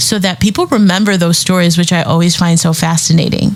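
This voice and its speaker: Over noticeable background noise, a woman talks at a fairly quick pace with a fairly low pitch. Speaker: business coach podcast host. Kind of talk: solo podcast monologue. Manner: animated.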